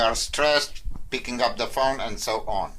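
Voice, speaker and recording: The speaker has a non-native accent and fairly even intonation, with audible room echo. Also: man. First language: not English. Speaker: quit-smoking coach. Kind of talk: casual talk to camera. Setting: in front of a whiteboard. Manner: halting, with fillers.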